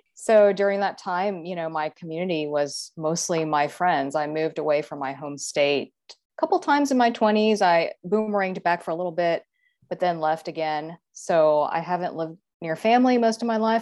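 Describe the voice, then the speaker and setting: A woman speaks in a fairly low pitch with lively intonation, at a moderate pace. She has a plain, everyday voice with an American accent. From Texas. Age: 40s. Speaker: tech worker. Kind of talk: interview.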